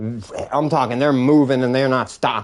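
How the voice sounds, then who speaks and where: A man mumbles at a fairly slow pace, with a medium pitch and ordinary pitch variation. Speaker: gamer streamer. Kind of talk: casual chat. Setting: live stream. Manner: mumbling. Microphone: old mic, may sound muffled.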